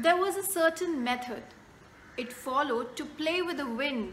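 A woman is speaking with ordinary pitch variation. There is light background noise. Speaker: poet. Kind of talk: poetry reading. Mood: gentle, reflective. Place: home room. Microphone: phone near.

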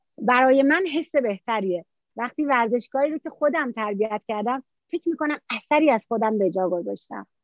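A woman's high-pitched voice with lively intonation and a fairly quick pace, dry with no echo, over a quiet background. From Iran, Mazandaran (Qaem Shahr); Mazandaran, Iran. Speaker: taekwondo coach and referee; interview guest, sports coach. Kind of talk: interview. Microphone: phone near.

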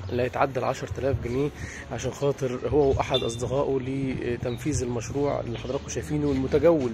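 Talking at a fairly quick pace, a man uses ordinary pitch variation in a dry recording with no echo, and noticeable background noise runs behind him. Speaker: street reporter. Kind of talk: news field report narration. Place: street. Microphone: phone near.

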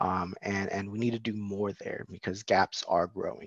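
In a normal speaking voice, a man keeps a moderate pace and fairly even intonation, the sound dry with no echo and the background quiet. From San Diego, California; California. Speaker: education policy advocate; presenter. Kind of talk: presentation. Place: home room. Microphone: video call.

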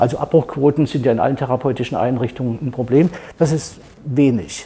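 A man's dark, mellow, somewhat breathy voice with lively intonation. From Thuringia, Germany; Germany. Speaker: doctor, clinic founder; guest. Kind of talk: panel discussion. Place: studio. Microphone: lapel.

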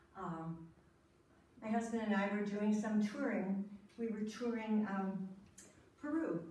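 In a room with audible echo, a woman talks at a fairly slow pace. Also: ordinary pitch variation. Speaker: storyteller. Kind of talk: storytelling performance. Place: hall. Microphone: camera far.

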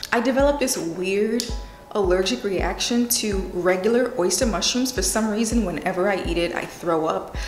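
Moderate pace and ordinary pitch variation, with audible room echo and faint music in the background. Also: woman. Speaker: lifestyle vlogger. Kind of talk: casual vlog chat. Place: studio.

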